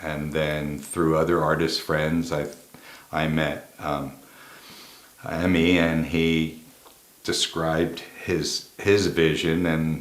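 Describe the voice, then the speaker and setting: In a very deep, low voice with a slight Philadelphia accent, a man speaks very slowly and in a flat monotone, with long, frequent pauses and audible room echo. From US South, Texas (Dallas). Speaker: set designer and film producer. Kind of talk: interview.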